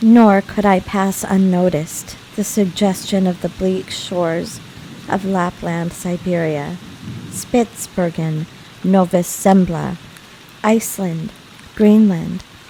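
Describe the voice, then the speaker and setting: Over noticeable background noise, a woman with a medium pitch speaks very slowly in a calm, relaxed tone, with monotone, flat intonation and long, frequent pauses. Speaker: audiobook narrator. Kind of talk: audiobook reading of classic novel.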